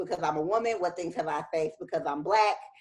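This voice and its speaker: With music in the background, a woman talks at a fairly quick pace in a fairly low pitch. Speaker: professional woman interviewed at summit. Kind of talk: interview. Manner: loud.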